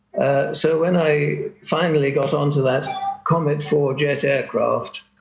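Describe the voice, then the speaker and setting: A man with a British accent speaks at a fairly slow pace. His loudness stays very even. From Britain. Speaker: longtime expatriate. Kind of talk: panel discussion. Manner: halting.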